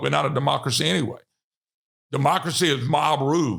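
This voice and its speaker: A man with a Louisiana accent, a bright, sharp tone and vocal fry. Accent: Southern US (Louisiana). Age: 60s. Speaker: political talk show host. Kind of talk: political commentary monologue. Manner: animated.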